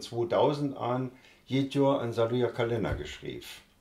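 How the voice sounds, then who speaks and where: This man's voice is dark and mellow, somewhat breathy. He speaks at a moderate pace. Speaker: dialect author. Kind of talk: interview answer. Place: home room.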